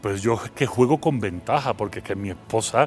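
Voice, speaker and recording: Here a man talks at a fairly quick pace. His pitch is medium and varies in an ordinary way. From Seville, Andalusia, Spain. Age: 40s. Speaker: philosopher and university lecturer. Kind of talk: interview.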